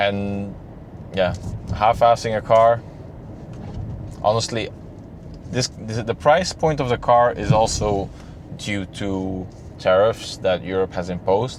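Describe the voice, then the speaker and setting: Speaking in a Flemish accent, a man with fairly low pitch and ordinary pitch variation goes at a fairly slow pace with long, frequent pauses. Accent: Flemish Dutch accent in English. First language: Dutch. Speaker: car reviewer. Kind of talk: casual video review. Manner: halting, many repeated words.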